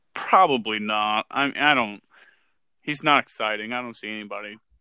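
At a fairly quick pace, a man talks in an ordinary speaking voice, fairly low in pitch, with fairly even intonation. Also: big swings in loudness. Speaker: guest co-host, fantasy sports. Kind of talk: casual sports podcast chat.

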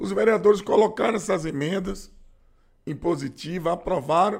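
His pitch sits high for a man. The man talks at a moderate pace. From Bahia, Brazil (Feira de Santana). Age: 50s. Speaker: radio host and city councillor. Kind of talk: interview. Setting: studio.

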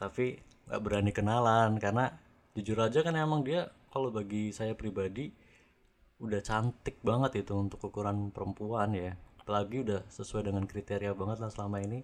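At a fairly quick pace, a man talks in a fairly low voice with ordinary pitch variation. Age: 30s. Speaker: podcast guest sharing personal story. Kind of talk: casual storytelling chat. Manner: animated.

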